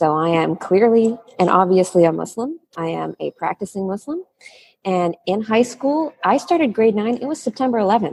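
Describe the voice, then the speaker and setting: A woman's ordinary speaking voice at medium pitch, with a Canadian accent, lively intonation, a moderate pace and a dry, close sound with no echo. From Canada, Toronto. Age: 30s. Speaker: guest speaker. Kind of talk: interview.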